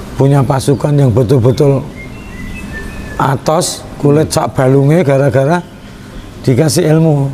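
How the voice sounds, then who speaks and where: Over music in the background, a man with a Javanese accent speaks fairly slowly with long, frequent pauses, his pitch fairly high with ordinary variation. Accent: Javanese Indonesian. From Central Java, Indonesia (Kudus). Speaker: Islamic religious study group leader. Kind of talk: interview.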